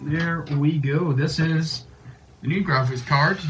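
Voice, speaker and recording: Noticeable background noise sits behind a man whose fairly high voice shows ordinary pitch variation. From Northern Ireland. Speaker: gaming YouTuber. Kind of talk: casual talk to camera.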